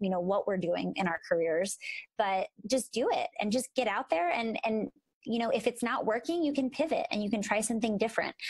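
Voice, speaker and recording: Fairly quick, somewhat breathy speech from a woman, her fairly high voice lively in intonation, recorded dry and close with no echo. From Philadelphia, US. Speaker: podcast co-host, speech-language pathologist. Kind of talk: casual podcast chat.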